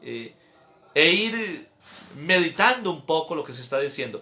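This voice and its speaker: A man with a high pitch uses a raised, projected voice at a fairly slow pace. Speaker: priest. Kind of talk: catechesis lecture.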